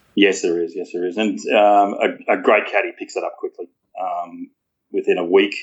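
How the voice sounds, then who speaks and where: A man with an Australian accent talks at a moderate speed. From rural New South Wales, Australia. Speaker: golf caddie. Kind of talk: casual interview. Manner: halting.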